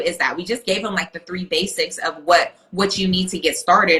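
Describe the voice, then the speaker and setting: A woman speaks at a moderate pace with a medium pitch and fairly even intonation. Noticeable background noise is present. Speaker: virtual assistant coach. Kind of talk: casual chat. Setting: Instagram live video.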